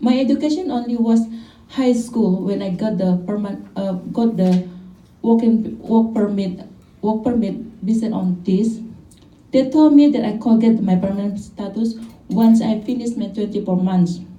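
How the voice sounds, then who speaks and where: A woman's voice carries audible room echo while music plays behind her. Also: fairly high pitch for a woman, ordinary pitch variation, moderate pace. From Indonesia. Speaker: caregiver and activist. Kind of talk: press conference statement. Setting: press conference. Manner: halting, with self-corrections.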